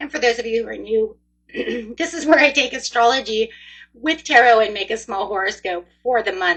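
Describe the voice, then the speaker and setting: Putting on a raspy, hoarse character voice, a woman speaks at a fairly high pitch and a moderate pace with lively intonation. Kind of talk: casual, friendly.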